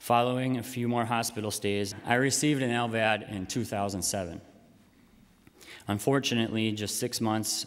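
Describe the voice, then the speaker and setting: This man has a normal speaking voice. He keeps a moderate pace and fairly even intonation. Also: medium pitch for a man. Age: 20s. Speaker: patient advocate. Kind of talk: public speech.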